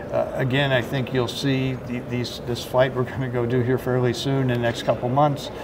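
Background noise is noticeable throughout. Over it, a man talks. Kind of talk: interview answer. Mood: measured, cautious. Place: hall. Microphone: handheld.

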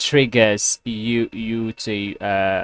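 A man speaks very slowly in a fairly low pitch with fairly even intonation. His tone is fairly bright, clear and smooth.

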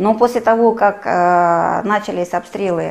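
A woman with a normal speaking voice, medium in pitch, with ordinary pitch variation. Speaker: travel agency owner, war refugee. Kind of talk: testimony.

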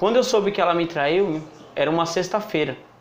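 Light background noise and audible room echo frame a man speaking at a moderate pace. His pitch is high, with ordinary variation. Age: 20s. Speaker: recovering drug addict. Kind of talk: testimony. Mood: serious, reflective. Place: home room. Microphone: lapel.

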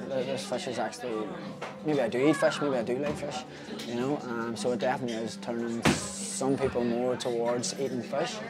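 Loud music plays in the background as a man talks at a moderate pace. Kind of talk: interview answer. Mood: relaxed, enthusiastic. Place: cafe. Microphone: phone near.

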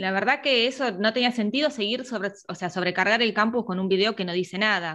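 Over a quiet background, a woman talks at a fairly quick pace and fairly high pitch in a bright, sharp tone, with ordinary pitch variation and hardly any pauses. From Argentina. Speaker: university lecturer. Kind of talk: online review class. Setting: video call. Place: home room. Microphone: earbuds.

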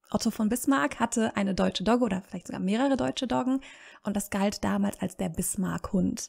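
On a very clean recording with a silent background, a woman speaks at medium pitch in a somewhat breathy voice. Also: dry, close sound with no echo. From Germany, city-raised, parents from rural Serbia. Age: 30s. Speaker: language education worker. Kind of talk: casual interview. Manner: hesitant, many fillers.

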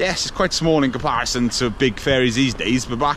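A man talks at a fairly quick pace with ordinary pitch variation, the sound dry with no echo and carrying light background noise. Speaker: exploration vlogger. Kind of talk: casual vlog chat. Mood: enthusiastic. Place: waterside. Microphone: phone near.

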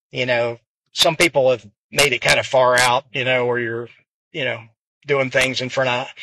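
Against light background noise, a man of medium pitch speaks at a moderate pace in a relaxed, bright, sharp tone, the sound dry with no echo. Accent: American. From US small town. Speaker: pool player and coach; pool coach. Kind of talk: casual monologue vlog. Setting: in a car in traffic. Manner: relaxed, hesitant with fillers. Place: car. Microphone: phone near.

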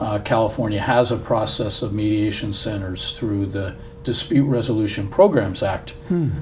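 A man's voice at a moderate pace with ordinary pitch variation, over light background noise. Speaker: interviewee. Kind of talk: interview answer. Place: studio.

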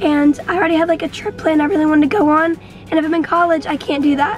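Clear music plays behind a woman talking at a very fast pace with extremely high pitch. Her intonation is fairly even, and the sound is dry with no echo. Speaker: vlogger. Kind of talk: casual vlog chat. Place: car.

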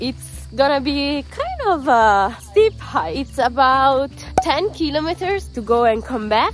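A woman speaks at a fairly slow pace in a dry sound with no echo, with faint music in the background. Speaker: travel vlogger. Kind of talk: casual vlog chat. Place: open country. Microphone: phone near.

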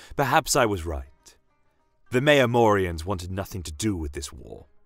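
A put-on character voice talks at a fairly slow pace with big pitch swings. Faint music plays in the background. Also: man, low pitch for a man.

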